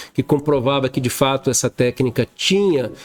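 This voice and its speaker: Medium-pitched male speech, fairly slow, over noticeable background noise. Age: 60s. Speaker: dentist and educator. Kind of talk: interview conversation.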